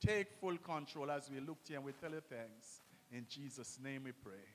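At a moderate pace, the man delivers his words. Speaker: minister leading prayer. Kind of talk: prayer. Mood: solemn, reverent. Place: church. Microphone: handheld.

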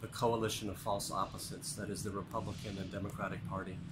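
A man speaking at a very fast pace, with noticeable background noise. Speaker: voter giving a street statement. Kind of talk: street interview answer. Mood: earnest, persuasive. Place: street. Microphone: phone near.

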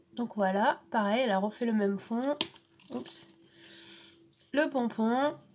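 At a very slow pace, a woman with a fairly high pitch talks over noticeable background noise. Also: ordinary pitch variation. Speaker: scrapbooking vlogger. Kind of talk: casual unboxing vlog. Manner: hesitant, many fillers. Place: home room. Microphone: camera far.

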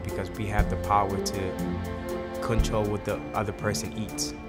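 Over music in the background, a man speaks with a very deep, low pitch. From Senegal. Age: 20s. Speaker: chef. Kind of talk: interview answer.

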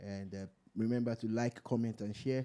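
With a dark, mellow tone, a man speaks at medium pitch and a moderate pace in a monotone, flat intonation. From Nigeria. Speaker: radio host. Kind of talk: casual chat; casual talk show chat. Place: studio. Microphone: studio mic.

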